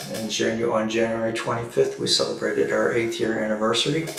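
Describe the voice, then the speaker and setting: Very wide pitch swings run through a man's medium-pitched voice at a moderate pace. Audible room echo surrounds him. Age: 60s. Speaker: stress and meditation coach. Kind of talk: livestream talk.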